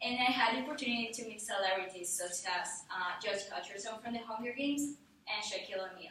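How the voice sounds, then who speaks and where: A woman talks at a very fast pace with ordinary pitch variation. Light background noise and audible room echo are present. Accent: Spanish. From Ecuador (Guayaquil). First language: Spanish. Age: young. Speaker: college student. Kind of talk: class speech. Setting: classroom audience. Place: classroom. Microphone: camera far.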